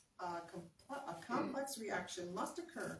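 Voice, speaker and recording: A woman with a medium pitch speaks at a moderate pace with lively intonation, and the room echo is audible. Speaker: cooking class presenter. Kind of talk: health talk reading from an article. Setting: live audience. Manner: loud.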